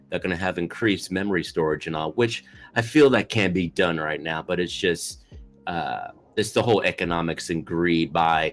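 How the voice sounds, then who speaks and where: The speaker is a man at a moderate pace. His pitch varies in an ordinary way. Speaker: podcast co-host. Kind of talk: podcast discussion. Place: home room.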